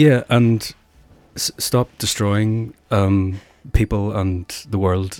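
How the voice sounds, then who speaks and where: A man's very slow speech with fairly even intonation, in a dry, close sound with no echo. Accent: Irish. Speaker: philosophy student who meditates. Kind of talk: casual chat.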